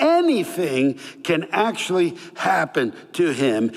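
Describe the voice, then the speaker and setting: Noticeable background noise sits under a man whose pitch swings very widely. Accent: Northeastern US. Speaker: pastor. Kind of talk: sermon.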